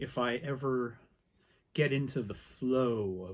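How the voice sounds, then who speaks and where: In a Canadian accent, a man talks at a very slow pace with ordinary pitch variation, on a very clean recording with a silent background. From Canada. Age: 60s. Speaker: writer. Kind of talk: casual chat.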